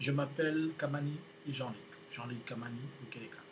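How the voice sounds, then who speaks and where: With audible room echo and noticeable background noise, a man speaks at a fairly high pitch with fairly even intonation. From DR Congo. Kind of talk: video announcement to viewers. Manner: halting, with many hesitations.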